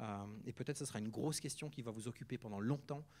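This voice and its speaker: A fairly quick pace in a Neuchâtel accent, on a very clean recording with a silent background. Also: man. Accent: Swiss French, Neuchâtel. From Switzerland, canton of Neuchâtel. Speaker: guest preacher, charity worker. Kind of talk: sermon. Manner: casual, hesitant with many fillers.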